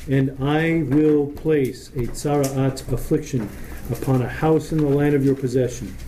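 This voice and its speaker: With an American accent, a man talks at a moderate pace and a fairly high pitch, his intonation monotone and flat. Noticeable background noise sits behind him. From US, Italian American heritage. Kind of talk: Torah study class.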